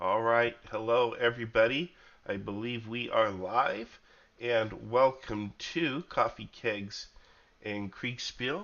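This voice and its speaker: An American-accented man at a medium pitch, very slow pace and ordinary pitch variation. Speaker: podcast host. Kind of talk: casual chat. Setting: livestream.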